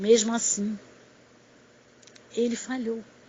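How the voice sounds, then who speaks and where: Noticeable background noise fills the recording. A woman talks through it at a very slow pace. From Pernambuco, northeastern Brazil. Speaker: missionary preacher. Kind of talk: sermon. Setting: recorded audio message.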